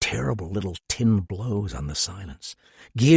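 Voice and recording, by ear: Lively intonation marks this clip. It is reading aloud in a natural voice.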